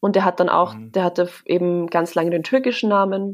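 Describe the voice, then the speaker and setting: Heard on a very clean recording with a silent background, a woman speaks. Her pitch is medium. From Vienna, Austria. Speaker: journalist. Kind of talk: casual chat.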